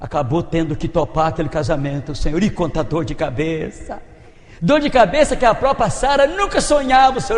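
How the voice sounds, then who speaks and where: Over noticeable background noise, a man speaks at a moderate pace with very wide swings in pitch. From Minas Gerais, Brazil. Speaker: preacher. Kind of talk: sermon.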